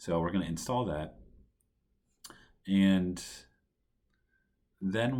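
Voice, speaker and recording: A man speaks quietly. His pace is fairly slow. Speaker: coding tutorial presenter. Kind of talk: tutorial. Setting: at home.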